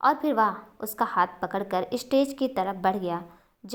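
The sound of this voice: Everything here comes in an unforced reading voice.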